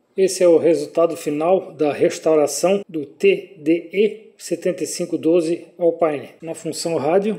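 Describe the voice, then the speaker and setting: A man talks at a fairly slow pace with a high pitch and fairly even intonation. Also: hardly any pauses. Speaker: car audio repair technician. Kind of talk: casual workshop narration.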